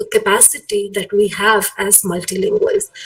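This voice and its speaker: Very wide pitch swings come through over noticeable background noise. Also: woman. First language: Malayalam. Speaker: academic speaker. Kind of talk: lecture. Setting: video call. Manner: hesitant, many fillers.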